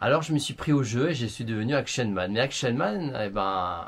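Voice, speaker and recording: With a somewhat breathy voice, this man keeps a moderate pace while his pitch swings very widely. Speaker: beauty YouTuber. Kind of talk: vlog monologue to camera. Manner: animated.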